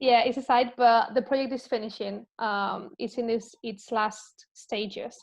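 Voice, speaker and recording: A woman speaks with a Spanish accent at a fairly slow pace, with hardly any pauses and a fairly high pitch. Her intonation is monotone and flat against a quiet background. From Spain. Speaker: health and wellbeing coach and researcher. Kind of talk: casual interview chat. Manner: halting, with fillers.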